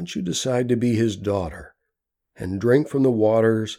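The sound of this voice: Behind the voice, the background stays quiet. It is an unforced reading voice.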